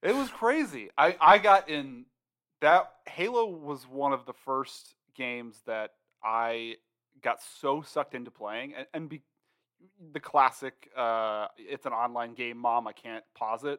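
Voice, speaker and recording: Using an ordinary speaking voice, the speaker goes at a fairly slow pace with lively intonation and big swings in loudness, recorded dry and close with no echo. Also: man, medium pitch for a man. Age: 30s. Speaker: podcast co-host, former IT worker turned writer. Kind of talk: casual chat.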